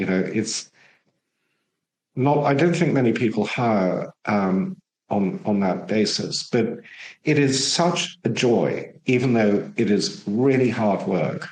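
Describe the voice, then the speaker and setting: Very slow and very even in loudness, a man at medium pitch makes very wide pitch swings. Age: 60s. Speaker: war veteran and ex-psychotherapist. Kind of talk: podcast interview.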